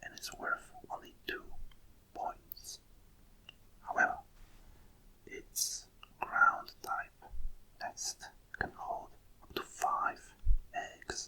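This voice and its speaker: The speaker whispers in a soft-spoken way at a very slow pace, with long, frequent pauses. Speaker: ASMR creator. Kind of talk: ASMR card readout, whispered. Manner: whispered, soft.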